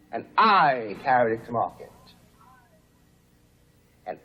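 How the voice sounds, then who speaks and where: A man speaks with an American accent. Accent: faintly cosmopolitan American. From United States. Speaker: writer, civil-rights activist. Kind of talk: formal debate speech. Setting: lecture hall, archival recording. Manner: rising, preacher-like cadence.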